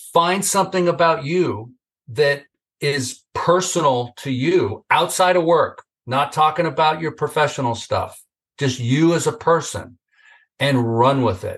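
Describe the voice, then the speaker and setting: Speaking fairly slowly, a man with a normal speaking voice and a fairly high pitch shows ordinary variation in pitch. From Northern California. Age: 60s. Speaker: video testimonial business guest, marketer. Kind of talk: casual interview chat. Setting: video call.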